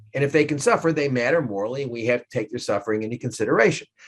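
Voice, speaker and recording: A man speaks with a New York accent. His pace is very fast. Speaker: law professor. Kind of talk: lecture. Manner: animated.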